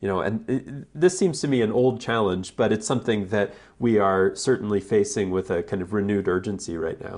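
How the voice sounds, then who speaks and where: The speaker is a man with a fairly low pitch. He talks at a fairly quick pace with ordinary pitch variation. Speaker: radio host and professor. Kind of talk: radio interview. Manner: halting, filler words.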